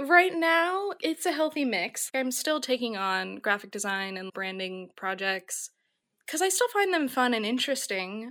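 This voice has a bright, sharp tone and an American accent, with very wide pitch swings at a fairly slow pace. The recording is very clean, with a silent background. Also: woman, high pitch for a woman. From US Midwest, Minnesota. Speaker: type designer. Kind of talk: interview.

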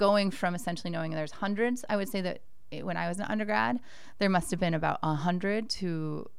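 A woman's very fast speech with lively intonation and audible room echo. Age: 40s. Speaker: professor. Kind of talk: interview.

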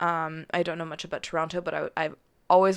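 A woman speaks with a Western Canadian accent at a fairly low pitch. Her tone is bright and sharp against a quiet background. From Calgary, Alberta, Canada. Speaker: journalist and podcast producer. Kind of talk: interview. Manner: hesitant, many fillers.

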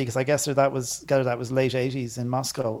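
A man talks at a fairly quick pace with an Irish accent. Noticeable background noise runs underneath. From Ireland. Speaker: podcast co-host. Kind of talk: casual chat.

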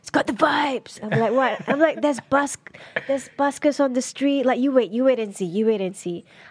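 Over noticeable background noise, the speech runs at a fairly quick pace with lively intonation. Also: woman, high pitch for a woman. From Malaysia. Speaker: poet and yoga teacher. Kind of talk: casual chat.

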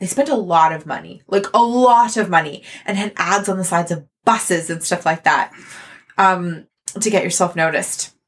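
Someone with a Canadian accent and an ordinary speaking voice talks at a moderate pace with ordinary pitch variation. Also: woman, medium pitch for a woman. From Canada. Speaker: theatre artist and podcaster. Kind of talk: casual interview.

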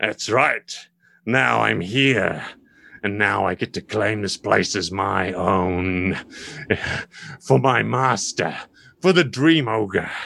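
A man's put-on character voice, raspy and fairly low, with lively intonation, a very slow pace and long, frequent pauses. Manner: gloating, menacing.

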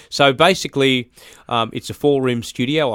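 A man with an Australian accent at a moderate pace. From Australia, Brisbane (Birkdale). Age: 40s. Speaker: recording studio owner and musician. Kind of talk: interview. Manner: halting, many fillers.

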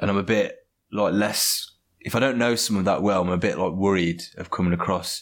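A man with an ordinary speaking voice, fairly low in pitch, at a moderate pace, on a very clean recording with a silent background. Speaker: podcast guest. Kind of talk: casual chat. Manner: casual, self-deprecating.

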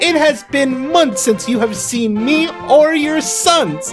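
A man puts on a character voice at an extremely high pitch with lively intonation. He speaks at a slow pace over clear music in the background.

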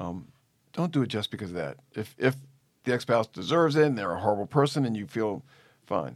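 Heard on a very clean recording with a silent background, a man at medium pitch uses vocal fry, leaves long, frequent pauses and makes very wide pitch swings. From New Orleans, Louisiana. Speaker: family law attorney. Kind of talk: interview conversation.

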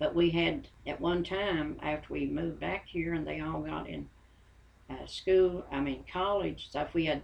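A woman with an Appalachian accent, at a fairly slow pace. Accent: Appalachian US Southern. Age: 80s+. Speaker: interviewee, grandmother of host. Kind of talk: personal storytelling.

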